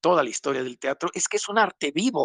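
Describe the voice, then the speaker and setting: A man's voice swings very widely in pitch, recorded dry and close with no echo. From Mexico City. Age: 70s. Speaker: playwright. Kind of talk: casual panel discussion.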